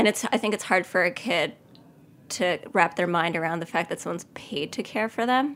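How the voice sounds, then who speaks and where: A normal speaking voice with an American accent, moving at a fairly quick pace. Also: woman, medium pitch for a woman. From US Northeast (Long Island, New York). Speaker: pastry chef. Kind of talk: interview, personal testimony.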